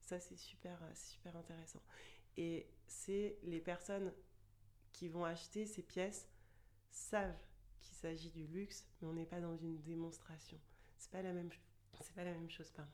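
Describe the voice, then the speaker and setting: This woman talks at a fairly slow pace in a fairly low voice, her intonation flat and monotone, with long, frequent pauses, big swings in loudness, and audible echo from the room. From France, Chartres area. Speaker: luxury store manager. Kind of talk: casual interview.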